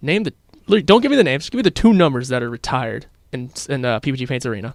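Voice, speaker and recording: With lively intonation and a medium pitch, a man talks at a very fast pace. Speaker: college radio sports show host. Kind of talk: casual sports chat. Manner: loud.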